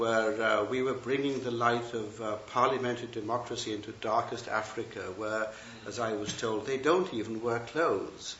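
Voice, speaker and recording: A man with a British accent speaks at a moderate pace. Noticeable background noise and audible room echo surround him. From England. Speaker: Buddhist teacher and retired professor. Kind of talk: dharma talk. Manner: hesitant, many fillers and restarts.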